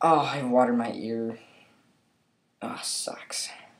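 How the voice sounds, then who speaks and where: A man speaks with an American accent. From Minnesota. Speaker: gaming YouTuber. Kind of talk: casual commentary while playing. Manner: loud.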